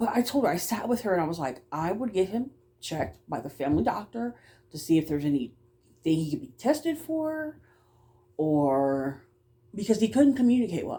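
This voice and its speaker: A woman's fairly quick, somewhat breathy voice at a medium pitch, dark and mellow in tone, with very wide pitch swings and long, frequent pauses. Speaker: vlogger. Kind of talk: casual monologue vlog.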